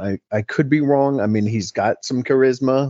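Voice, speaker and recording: An ordinary speaking voice with an American accent at a moderate pace. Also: man. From New York City. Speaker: political commentator. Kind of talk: casual chat.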